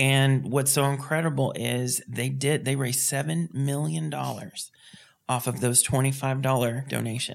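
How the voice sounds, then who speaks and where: Using a plain, everyday voice, a man speaks at a moderate pace with medium pitch and ordinary pitch variation. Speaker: podcast host. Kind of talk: casual interview.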